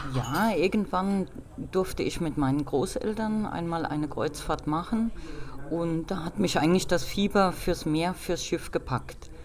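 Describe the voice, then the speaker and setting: Over noticeable background noise, a woman with a fairly low pitch talks at a fairly slow pace with ordinary pitch variation. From Rhineland-Palatinate, Nahe region. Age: 40s. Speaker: civil engineer and travel agency owner. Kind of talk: interview.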